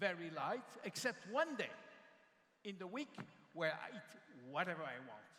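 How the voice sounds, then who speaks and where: A man's raised, projected voice with very wide pitch swings. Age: 60s. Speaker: panelist at company convention. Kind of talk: panel discussion at company convention.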